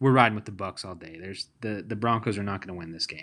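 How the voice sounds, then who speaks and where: The bright, sharp tone of a man with a Tennessee accent comes through in a very clean recording with a silent background. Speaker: sports podcast host. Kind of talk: casual chat.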